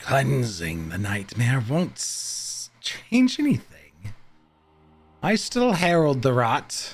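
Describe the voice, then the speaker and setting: Over music in the background, a man does a guttural, put-on character voice at a medium pitch and a very slow pace. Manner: ominous.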